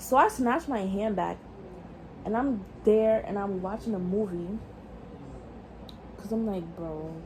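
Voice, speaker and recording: A woman speaks in a New York accent at a fairly slow pace, with long, frequent pauses. Her medium pitch shows ordinary variation. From New York City. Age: young. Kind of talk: casual storytime talk to camera.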